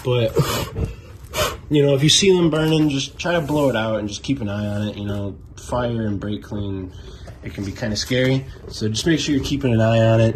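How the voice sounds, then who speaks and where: At a fairly quick pace, a man with a relaxed tone speaks at medium pitch with lively intonation, against noticeable background noise. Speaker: car hobbyist. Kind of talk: casual how-to tutorial. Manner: casual, relaxed.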